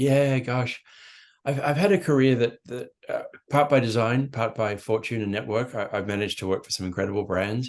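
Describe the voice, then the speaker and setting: The speech comes with an Australian accent at a fairly quick pace. Pitch variation is ordinary. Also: man, medium pitch for a man. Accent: Australian, unshaken after 35 years abroad. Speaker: marketing executive. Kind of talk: podcast interview.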